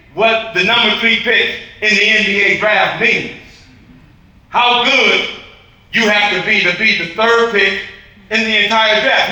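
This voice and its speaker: A man with an American accent uses a raised, projected voice at a high pitch. Room echo is audible, along with noticeable background noise. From Michigan. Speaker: basketball coach. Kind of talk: tribute speech. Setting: gala hall with audience. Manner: loud. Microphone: no microphone, speaking unamplified.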